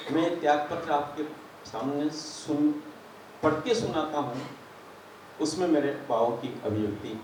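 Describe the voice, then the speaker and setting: Fairly high for a man, this voice has lively intonation and long, frequent pauses. Audible room echo and noticeable background noise surround him. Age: 70s. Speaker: community association official. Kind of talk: farewell speech, partly reading a resignation letter. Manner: formal.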